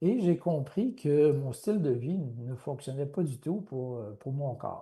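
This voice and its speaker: Over a quiet background, a man talks very slowly in a dark, mellow, somewhat breathy tone, with a fairly high pitch and lively intonation. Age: 60s. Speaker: author and researcher. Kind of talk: interview. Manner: halting, many hesitations.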